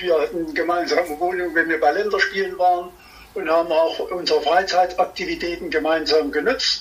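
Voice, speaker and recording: A man keeps a moderate pace while noticeable background noise fills the recording. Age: 80s+. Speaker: former hockey player and coach. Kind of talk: interview.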